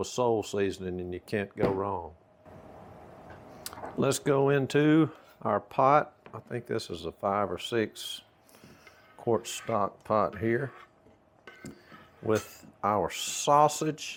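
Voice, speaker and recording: A man's fairly low, relaxed voice with a Southern US accent, very slow pace, long and frequent pauses, and ordinary pitch variation. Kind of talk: casual cooking talk to camera. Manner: folksy, relaxed.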